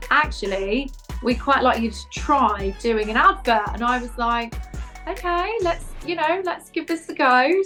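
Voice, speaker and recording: Over music in the background, a woman talks at a moderate pace with a high pitch. Her tone is upbeat and her intonation lively. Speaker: voice over artist and presenter. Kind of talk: interview answer.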